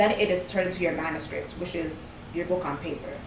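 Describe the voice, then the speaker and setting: Audible room echo and noticeable background noise surround a woman who talks fairly quickly. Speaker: author and publishing consultant. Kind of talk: interview. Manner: fast.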